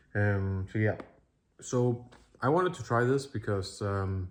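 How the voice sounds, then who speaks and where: A man speaks with a non-native accent. His fairly low voice keeps a fairly even intonation. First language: not English. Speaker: streamer and vlogger. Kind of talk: casual talk to camera. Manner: halting, many fillers.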